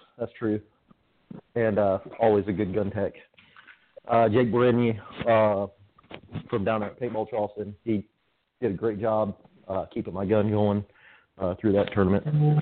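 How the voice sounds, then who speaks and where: Pausing long and often, a man talks at a moderate pace with a fairly low pitch and fairly even intonation. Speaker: paintball player. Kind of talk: casual chat. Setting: phone call. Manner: halting, many fillers.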